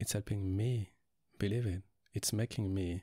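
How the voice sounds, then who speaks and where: A soft-spoken man with a French accent talks at a fairly low pitch. His tone is dark, mellow and somewhat breathy. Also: dry, close sound with no echo, very clean recording, silent background. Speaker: ASMR roleplay performer. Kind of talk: ASMR boyfriend roleplay. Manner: soft-spoken, relaxing; affectionate, reassuring.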